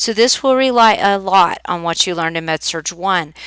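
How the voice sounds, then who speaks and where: On a very clean recording with a silent background and a dry, close sound with no echo, a woman with an American accent speaks at a moderate pace in a bright, sharp tone with ordinary pitch variation. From Oklahoma. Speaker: nursing instructor. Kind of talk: recorded course welcome lecture. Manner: casual, with filler ums.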